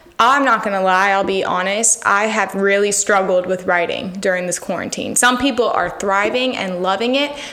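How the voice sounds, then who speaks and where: In an American accent, a woman talks at medium pitch and a moderate pace with ordinary pitch variation and hardly any pauses, amid audible room echo and noticeable background noise. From Florida (Miami, then St. Augustine). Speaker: singer-songwriter. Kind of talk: casual interview.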